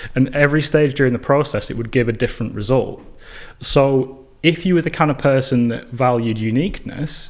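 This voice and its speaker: With a northern English accent, a man talks at a fairly quick pace, his pitch medium with ordinary variation. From northern England, Burnley near Manchester. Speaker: filmmaker and educator. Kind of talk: podcast interview.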